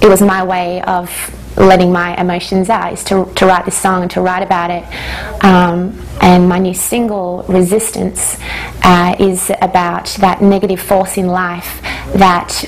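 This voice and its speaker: A woman with an Australian accent speaks at a moderate pace in a medium pitch, her intonation flat and monotone, over noticeable background noise. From Australia, Hungarian parents. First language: Hungarian. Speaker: singer-songwriter. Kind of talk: interview.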